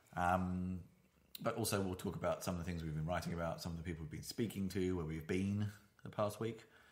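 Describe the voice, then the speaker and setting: A man speaks with a British accent. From Britain. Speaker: podcast host. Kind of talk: casual chat. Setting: home studio, sharing one microphone. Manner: loud.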